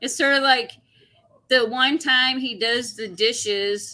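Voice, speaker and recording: The voice is loud, with a bright, sharp tone. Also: woman. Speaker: coin collecting livestream host. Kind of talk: casual livestream chat. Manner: gets very loud when excited.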